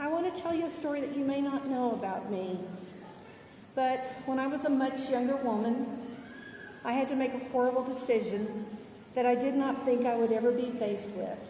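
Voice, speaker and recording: Over noticeable background noise and audible room echo, a woman talks at a fairly quick pace with long, frequent pauses. Her pitch is high, with ordinary pitch variation. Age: 60s. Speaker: college president. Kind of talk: commencement speech.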